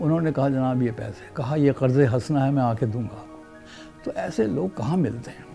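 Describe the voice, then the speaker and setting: A man with a medium-pitched voice and ordinary pitch variation speaks while music plays behind him. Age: 80s+. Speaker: poet and author recounting history. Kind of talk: oral history testimony.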